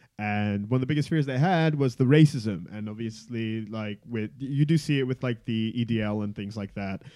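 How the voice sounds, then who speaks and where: A man with a dark, mellow tone talks at a moderate pace, with hardly any pauses and ordinary pitch variation. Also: medium pitch for a man. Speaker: podcast co-host. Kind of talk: casual chat.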